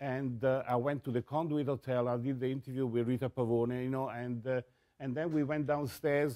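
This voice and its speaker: A man speaks in an Italian accent at a moderate pace. His tone is dark and mellow. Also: medium pitch for a man. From Italy. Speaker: photographer and music journalist. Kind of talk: interview storytelling. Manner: halting; animated.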